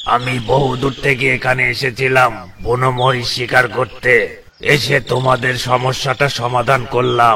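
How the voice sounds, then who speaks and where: Using a cartoonish character voice, a man speaks at a medium pitch and moderate pace with monotone, flat intonation over clear background noise. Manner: gruff, commanding.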